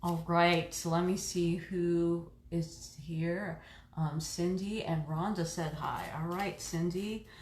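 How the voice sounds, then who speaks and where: In a room with audible echo, a woman speaks very slowly in a somewhat breathy, fairly low voice with monotone, flat intonation. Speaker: reiki practitioner and oracle card reader. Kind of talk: live stream card reading. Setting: live stream from home reiki room. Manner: casual, chatty with fillers.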